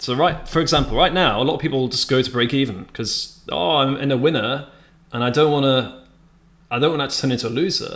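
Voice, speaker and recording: With a British accent, a man speaks at a medium pitch. His pace is fairly quick. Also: ordinary pitch variation. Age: 30s. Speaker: day trader streamer. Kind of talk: live-stream commentary with chat. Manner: casual, self-correcting.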